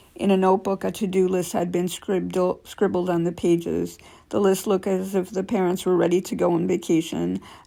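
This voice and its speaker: A woman with a dark, mellow tone talks in monotone, flat intonation with hardly any pauses. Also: medium pitch for a woman. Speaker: channel host reading articles. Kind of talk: reading aloud with comments. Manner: halting, self-correcting.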